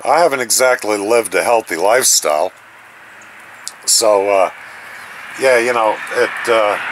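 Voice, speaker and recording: A man speaks at a moderate pace in a medium pitch with ordinary pitch variation, and noticeable background noise can be heard. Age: 60s. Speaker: YouTuber. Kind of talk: casual monologue. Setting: outdoors by a fire. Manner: halting.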